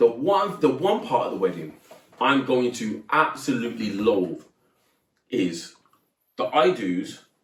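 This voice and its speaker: A loud man speaks with very wide swings in pitch. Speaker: podcast co-host, teacher and footballer. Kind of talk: casual chat.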